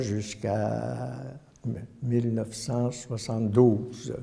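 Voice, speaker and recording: In a room with audible echo, a man speaks at a medium pitch with ordinary pitch variation. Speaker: retired priest. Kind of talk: testimony. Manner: halting, many hesitations.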